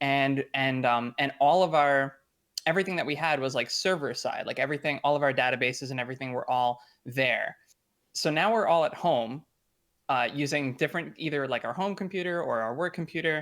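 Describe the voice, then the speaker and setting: An ordinary speaking voice from a man with an American accent, fairly high-pitched with ordinary pitch variation, fairly quick, on a very clean recording with a silent background. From US. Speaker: lead game designer. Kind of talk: interview. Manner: casual, many fillers.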